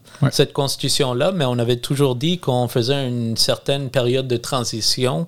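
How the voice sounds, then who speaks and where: A man with a Quebec accent talks at a medium pitch with ordinary pitch variation. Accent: Québécois French. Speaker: freemason. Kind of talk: casual chat.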